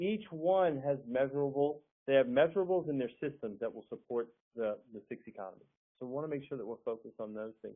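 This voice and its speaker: A man's fairly high voice at a very fast pace, with lively intonation. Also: big swings in loudness. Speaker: business trainer. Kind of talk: webinar presentation. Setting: online webinar.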